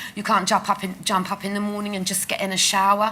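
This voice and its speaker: There is noticeable background noise as a woman talks at a medium pitch. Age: 60s. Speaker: patient sharing lived experience of leg ulcers. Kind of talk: conference testimony interview. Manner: halting.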